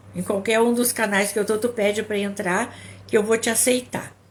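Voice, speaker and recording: Fairly high and somewhat breathy, a woman's voice holds fairly even intonation. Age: 60s. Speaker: psychologist and couples therapist. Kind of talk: live stream talk. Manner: halting, repeats words.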